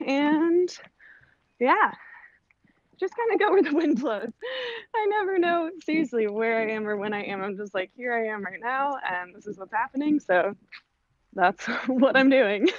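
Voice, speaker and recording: A woman's high-pitched voice in an American accent, with very wide pitch swings, big swings in loudness, long and frequent pauses, and a quiet background. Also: moderate pace, dry sound with no echo. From California, LA beach area. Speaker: voice actress and performer. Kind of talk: casual interview. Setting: remote call while walking dog. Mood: relaxed, cheerful. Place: street. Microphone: video call.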